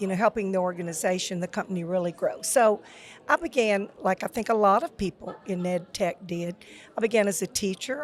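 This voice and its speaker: At a fairly quick pace, a woman with a Louisiana accent talks at medium pitch with ordinary pitch variation. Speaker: retired school technology officer. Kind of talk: podcast interview.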